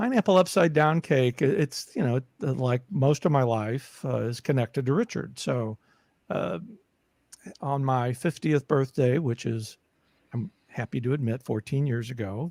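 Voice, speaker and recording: Lively intonation moves through speech at a moderate pace, recorded with a dry, close sound and no echo. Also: man, medium pitch for a man. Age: 60s. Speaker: caregiving advocate and podcaster. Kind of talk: casual interview chat. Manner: halting, many fillers and repetitions.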